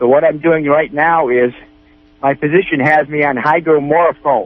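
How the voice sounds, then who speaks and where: Speaking at a moderate pace with an American accent, a man keeps a fairly high pitch, fairly even intonation, and very even loudness. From Northern California. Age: 60s. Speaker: caller with health problem, military surgery patient. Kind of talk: radio call-in question. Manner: halting.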